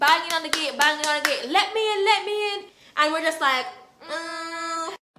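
A woman speaks in a raised, projected voice at a moderate pace, with ordinary pitch variation. Noticeable background noise is present. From Jamaica. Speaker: vlogger. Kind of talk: casual storytime talk to camera. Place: home room.

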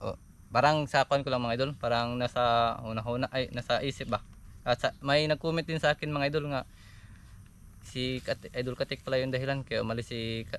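With fairly even intonation, a man talks at a fairly quick pace and a medium pitch. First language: Cebuano/Bisaya (speaking Tagalog). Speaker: vlogger. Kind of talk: casual vlog monologue. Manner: halting.

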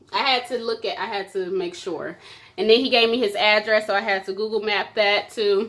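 A woman with an American accent, fairly high pitch, ordinary pitch variation and a fairly quick pace. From US Midwest. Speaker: vlogger. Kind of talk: casual chat. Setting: at home on camera. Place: home room. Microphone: phone near.

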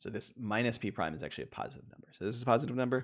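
Very fast speech from a man at medium pitch, with vocal fry. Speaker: university economics professor. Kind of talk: lecture. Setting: video call. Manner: halting, filler-heavy.

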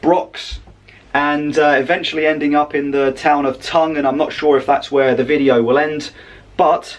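Moderate pace in a man's speech. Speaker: travel vlogger. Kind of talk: casual vlog chat. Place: home room. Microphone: phone near.

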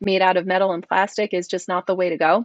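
Quiet background and a dry sound with no echo. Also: woman. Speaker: guest. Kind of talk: interview answer. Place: home room. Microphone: earbuds.

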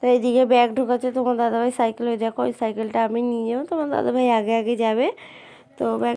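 The woman speaks with monotone, flat intonation at a fairly high pitch. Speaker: vlogger. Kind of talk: vlog narration. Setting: at home.

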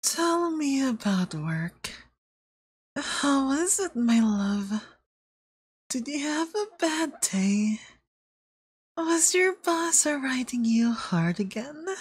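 Putting on a character voice, a man speaks at an extremely high pitch and a very slow pace, with long, frequent pauses. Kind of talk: ASMR roleplay. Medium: virtual streamer. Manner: sweet, coaxing, quietly menacing.

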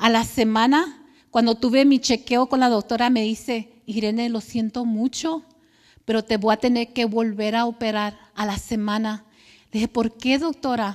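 Against a quiet background, a woman speaks fairly slowly in a fairly high voice with fairly even intonation. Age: 50s. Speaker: churchgoer, clinic worker and cancer survivor; speaker. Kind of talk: testimony. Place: church.

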